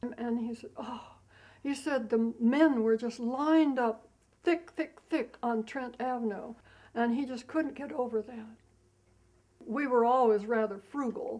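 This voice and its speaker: With an American accent, a woman speaks at a high pitch with ordinary pitch variation. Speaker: elderly interviewee recalling wartime. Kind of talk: interview testimony. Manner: halting, with hesitations.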